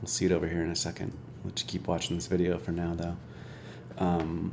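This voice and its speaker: A soft-spoken man's very deep, low voice with fairly even intonation, delivered at a very fast pace in audible room echo. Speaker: software developer streamer. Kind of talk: live coding stream tutorial. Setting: live stream. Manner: casual, hesitant with fillers.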